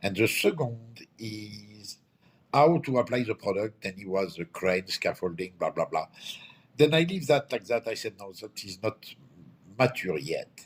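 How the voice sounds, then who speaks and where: With a French accent, a somewhat breathy man talks at a fairly slow pace, his loudness swinging widely, in a very clean recording over a silent background. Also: medium pitch for a man, lively intonation. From France. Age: 60s. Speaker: company owner. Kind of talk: interview. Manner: halting.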